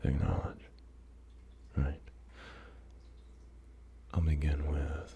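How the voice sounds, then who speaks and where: A soft-spoken man with a very deep, low pitch and ordinary pitch variation talks over noticeable background noise. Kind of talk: ASMR positive affirmations. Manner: slow, rambling.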